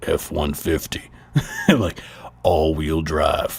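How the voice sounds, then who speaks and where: In a put-on character voice pitched very deep and low, a man speaks at a very slow pace. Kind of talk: commercial voiceover.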